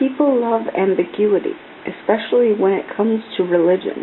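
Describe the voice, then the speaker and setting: The soft-spoken voice moves at a moderate pace with ordinary pitch variation over noticeable background noise. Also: woman. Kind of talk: soft-spoken ASMR book reading. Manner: soft-spoken, calm, relaxed.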